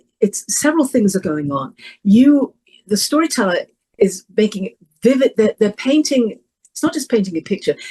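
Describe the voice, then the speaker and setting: In an English accent, a woman with a fairly high, dark and mellow, somewhat breathy voice speaks at a moderate pace with very wide pitch swings. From England. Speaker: professional storyteller. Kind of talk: interview conversation. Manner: halting.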